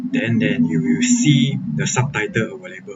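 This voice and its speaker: A man is speaking. He has a non-native accent. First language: Chinese. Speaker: software developer and programming tutor. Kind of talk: live-streamed coding tutorial. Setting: live stream. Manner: hesitant, frequent fillers (okay, uh).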